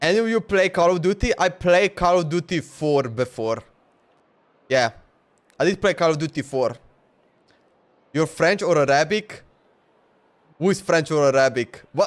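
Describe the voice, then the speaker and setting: A man with a Slovenian accent speaks at a high pitch with lively intonation. He keeps a moderate pace, broken by long, frequent pauses. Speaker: gaming streamer. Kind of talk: live game stream commentary. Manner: casual, halting.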